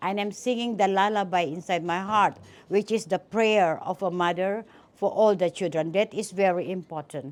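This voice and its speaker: At a moderate pace, a plain, everyday voice speaks with ordinary pitch variation in a very clean recording with a silent background. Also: woman. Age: 60s. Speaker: business executive, award honoree. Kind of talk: interview. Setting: event venue interview.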